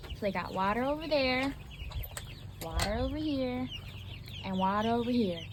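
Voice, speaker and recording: Soft-spoken and calm, a woman with a fairly high pitch moves through very wide pitch swings at a moderate pace, leaving long, frequent pauses over noticeable background noise. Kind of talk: casual talk to camera, farm update. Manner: soft-spoken, calm.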